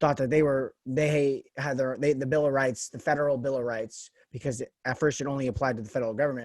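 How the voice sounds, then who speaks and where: A man speaks with an American accent in an unremarkable speaking voice. His pitch is medium, his pace fairly quick, and his intonation fairly even. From US West, Las Vegas. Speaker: podcast host. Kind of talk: casual interview chat.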